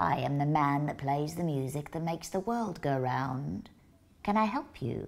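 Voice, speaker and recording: A woman puts on a character voice with a very deep, low pitch. She keeps a moderate pace and lively intonation. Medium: read story. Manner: gentle, formal, poetic.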